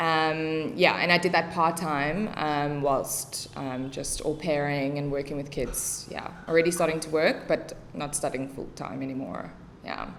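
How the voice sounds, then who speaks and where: Speaking at a fairly slow pace with a South African accent, a woman with a very deep, low voice shows ordinary pitch variation and big swings in loudness, with audible room echo around her. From South Africa, Cape Town northern suburbs. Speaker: English teacher and special education tutor. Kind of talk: casual podcast interview.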